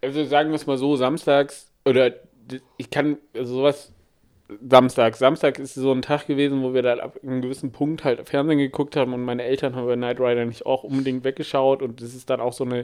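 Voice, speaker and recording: The intonation here is flat and monotone. A man delivers it at a fairly quick speed. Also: medium pitch for a man. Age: 20s. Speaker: podcast co-host. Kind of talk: casual chat.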